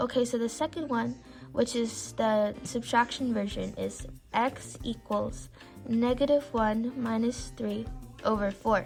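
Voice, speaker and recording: Music can be heard behind the speaker. She is a woman talking at a fairly slow speed. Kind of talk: casual math tutorial talk. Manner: stuttering.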